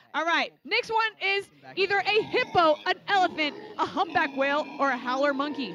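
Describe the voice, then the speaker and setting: A woman's raised, projected voice, bright and sharp in tone, animated, with ordinary pitch variation. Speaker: children's ministry leader. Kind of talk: children's church game hosting. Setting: church livestream with kids present. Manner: loud.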